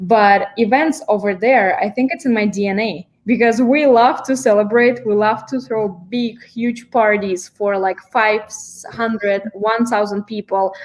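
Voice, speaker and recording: A woman talks at a fairly slow pace in a fairly high pitch. Her pitch variation is ordinary. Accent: Russian. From Kazakhstan. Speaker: event management student. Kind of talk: panel discussion.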